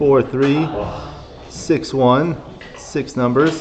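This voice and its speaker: A man with an American accent talks at a very slow pace with monotone, flat intonation. Background noise is noticeable. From Los Angeles. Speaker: backgammon streamer and commentator. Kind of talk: live commentary. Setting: live stream at a tournament venue.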